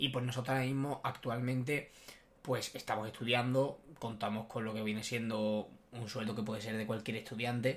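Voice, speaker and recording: Here a man speaks at a moderate pace with flat, monotone intonation. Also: medium pitch for a man. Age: 20s. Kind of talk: casual chat. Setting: studio, sitting side by side.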